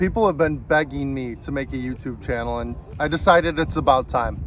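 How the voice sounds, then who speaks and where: Noticeable background noise sits behind a man speaking. He keeps a moderate pace with ordinary pitch variation. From US Midwest, Chicago area. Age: 20s. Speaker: car enthusiast YouTuber. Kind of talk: casual vlog intro.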